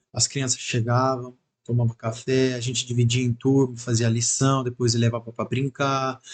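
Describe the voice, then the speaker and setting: Somewhat breathy and flat in intonation, a man speaks in a monotone at a medium pitch and moderate pace. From Italy. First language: Italian (speaking Portuguese). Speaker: church member, former missionary. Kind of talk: casual chat.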